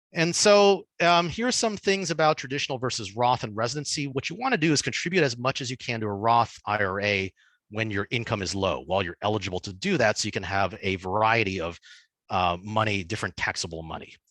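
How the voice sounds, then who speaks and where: Very fast speech from a man of medium pitch, lively intonation, quiet background. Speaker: dentist giving a finance webinar. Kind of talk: webinar lecture. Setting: online webinar.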